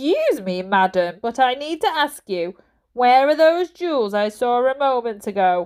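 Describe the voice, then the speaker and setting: In a put-on character voice, a woman speaks at a moderate pace with a high, nasal, growling sound, a pompous tone, and very wide pitch swings. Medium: read story. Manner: barking, snarling, pompous.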